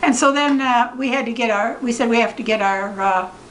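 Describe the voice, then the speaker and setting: A woman with a high pitch and lively intonation at a fairly quick pace, amid audible room echo and noticeable background noise. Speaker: retired chiropractor. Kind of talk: family interview, storytelling. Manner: halting.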